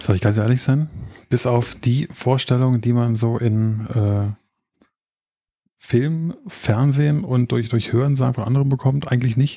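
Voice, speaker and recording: Somewhat breathy, a man's dark, mellow tone at medium pitch, fairly slow in pace and very even in loudness. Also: fairly even intonation. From Berlin area. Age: 30s. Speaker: podcast co-host, expectant father. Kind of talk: casual chat.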